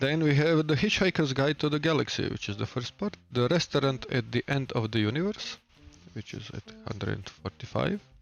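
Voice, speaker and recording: A man speaks with a Balkan accent and lively intonation. The background is quiet. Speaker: streamer. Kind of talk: reading aloud. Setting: live stream at home. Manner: hesitant, many fillers.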